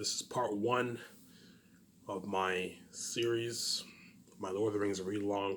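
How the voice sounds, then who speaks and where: Noticeable background noise is present as a man talks. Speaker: YouTuber doing a book read-along. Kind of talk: casual vlog chat before reading aloud. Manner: rambling, halting with restarts.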